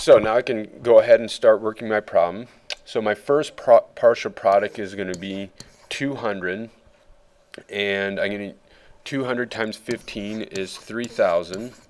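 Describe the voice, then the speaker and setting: His volume rising and falling sharply, a man talks at a medium speed. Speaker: fifth grade teacher. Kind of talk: tutorial.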